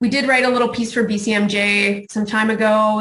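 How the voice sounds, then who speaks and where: There's audible room echo around a woman whose intonation is monotone and flat. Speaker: speaker on health care racism. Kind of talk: conference talk. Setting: video call. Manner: fast.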